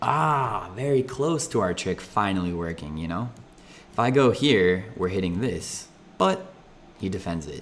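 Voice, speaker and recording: Speaking at a fairly slow pace, a man has a fairly low pitch. His pitch swings very widely. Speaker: chess streamer. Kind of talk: live game commentary.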